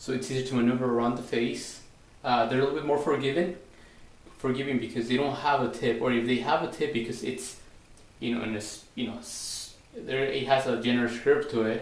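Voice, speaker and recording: A man's medium-pitched voice at a fairly quick pace, fairly even in intonation, with audible room echo. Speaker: straight razor shaving demonstrator. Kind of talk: tutorial. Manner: halting.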